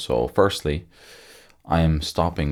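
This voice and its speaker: His pitch is very deep and low, marked by vocal fry. The man's intonation stays fairly even. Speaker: hypnotherapist. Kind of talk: unscripted monologue to camera. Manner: casual, halting with repetitions.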